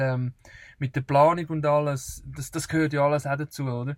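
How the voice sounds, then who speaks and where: His pitch fairly high, a man speaks in monotone, flat intonation. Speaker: travel podcaster. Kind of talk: casual chat. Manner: halting.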